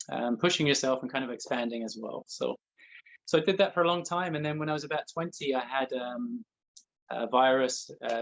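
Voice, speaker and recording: A man with a southeast English accent, fairly high pitch and fairly quick pace. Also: ordinary pitch variation. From southeast England, Essex. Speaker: energy healer and spiritual guide. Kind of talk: interview. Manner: talkative.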